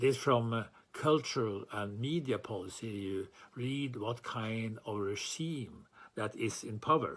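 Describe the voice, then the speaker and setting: With a Norwegian accent, a man talks fairly slowly at a medium pitch with ordinary pitch variation. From Norway. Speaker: chair of a writers' freedom organisation. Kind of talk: formal speech. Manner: formal.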